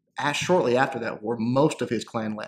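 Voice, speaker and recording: A man with a Southern US accent, medium pitch and a moderate pace. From US South, North Central Arkansas. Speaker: gaming YouTuber. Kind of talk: casual Q&A commentary. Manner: halting, many fillers.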